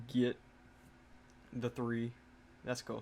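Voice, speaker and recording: A man with a slight country accent, at a fairly slow pace. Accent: slight country twang. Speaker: gaming content creator. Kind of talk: gameplay commentary. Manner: casual, halting.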